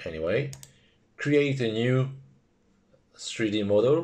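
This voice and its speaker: Against a quiet background, a man with a French accent speaks at a fairly slow pace. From France. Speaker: FPV drone hobbyist. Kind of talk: software tutorial narration.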